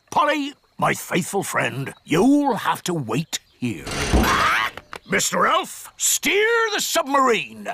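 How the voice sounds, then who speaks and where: A man's cartoonish character voice at a very slow pace. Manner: hearty pirate talk, "me" for "my".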